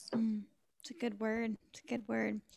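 At a fairly quick pace, a woman talks in a normal speaking voice, with a dry, close sound and no echo. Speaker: podcast co-host.

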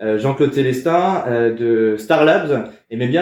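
A man speaks at a medium pitch with ordinary pitch variation. Audible room echo surrounds his voice. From France, Val d'Oise (Paris suburbs). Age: 30s. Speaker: startup program manager. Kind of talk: casual interview. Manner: halting, many repetitions and fillers.

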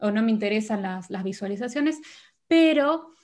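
A woman with a fairly high pitch talks at a fairly quick pace, somewhat breathy. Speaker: podcast host. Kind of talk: interview.

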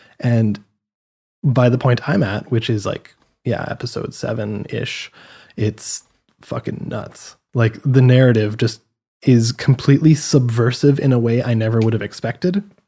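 A man with a medium pitch and a dark, mellow tone speaks at a fairly slow pace. His voice is somewhat breathy, with ordinary pitch variation. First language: French. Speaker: gaming podcast co-host. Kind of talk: casual chat.

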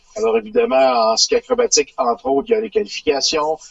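A man speaks with a Quebec accent at a fairly high pitch. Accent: Québécois French. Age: 60s. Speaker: retired sports journalist. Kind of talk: radio interview.

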